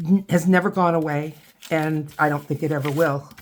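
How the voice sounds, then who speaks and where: Speaking in a very deep, low pitch, a woman talks with an American accent. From US Midwest, Toledo Ohio. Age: 60s. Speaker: craft video creator. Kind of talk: casual crafting tutorial with storytelling. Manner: halting, frequent repetitions.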